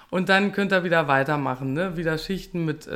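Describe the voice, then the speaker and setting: A woman's plain, everyday voice, fairly low in pitch with ordinary pitch variation, on a very clean recording with a silent background. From Lower Saxony, Germany. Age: 30s. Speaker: restaurant owner. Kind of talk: casual chat; recipe tutorial.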